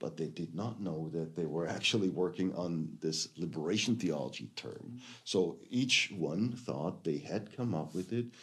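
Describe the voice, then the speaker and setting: A man's voice with vocal fry and a German accent, very wide pitch swings and audible room echo. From Germany. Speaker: theology professor. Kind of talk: lecture. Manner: halting, many fillers.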